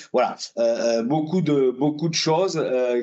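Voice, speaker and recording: The voice belongs to a man. Ordinary ups and downs mark his pitch. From southwest France, Lot-et-Garonne. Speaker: trade union trainer. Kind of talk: webinar presentation. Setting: online webinar. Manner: halting, many hesitations.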